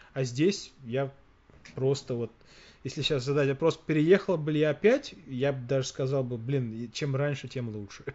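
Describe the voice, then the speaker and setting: A man with an ordinary speaking voice talks at a moderate pace, his pitch fairly high with ordinary variation. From Russia. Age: 40s. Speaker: podcast host. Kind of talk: casual chat.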